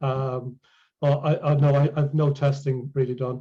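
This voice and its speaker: A man with an Irish accent talks at a moderate pace in a fairly high pitch, his tone dark, mellow and somewhat breathy. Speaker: ALS patient and healing presenter. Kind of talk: Q&A after a presentation. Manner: halting.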